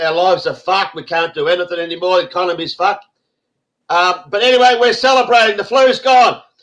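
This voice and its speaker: Speaking at a fairly quick pace with an Australian accent, a man sounds animated, with ordinary pitch variation. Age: 60s. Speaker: online show host. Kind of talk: casual group chat on a live stream.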